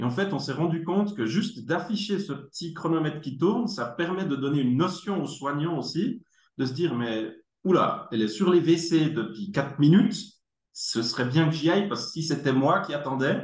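With a Swiss accent and lively intonation, a man speaks at a moderate pace in a fairly high pitch amid audible room echo. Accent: Neuchâtel Swiss French. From Germany. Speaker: tech company executive, engineer. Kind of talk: casual interview.

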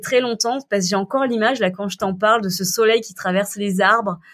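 On a very clean recording with a silent background, a woman uses an unremarkable speaking voice with fairly even intonation. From southern France. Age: 30s. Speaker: entrepreneur and cancer survivor. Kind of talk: casual interview.

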